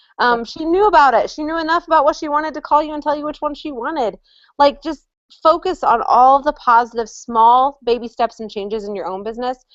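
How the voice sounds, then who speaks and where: Her voice is high for a woman, moving at a fairly quick pace with lively intonation and big swings in loudness. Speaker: direct sales top-rank consultant. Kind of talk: online training chat. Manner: fast.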